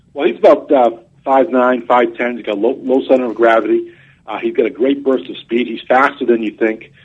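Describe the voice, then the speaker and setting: Speaking with a New England accent, a man talks at a fairly quick pace with a medium pitch and ordinary pitch variation. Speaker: college football reporter. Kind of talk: sports radio interview. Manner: halting, many fillers and repeats.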